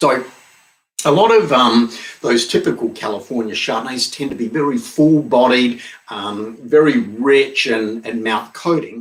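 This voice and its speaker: Speaking with an Australian accent, a man delivers his words at a fairly slow pace in a medium pitch with ordinary pitch variation. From Australia (Barossa Valley, South Australia). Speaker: winemaker. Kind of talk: virtual wine tasting. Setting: home studio, live stream. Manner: frequent fillers (um).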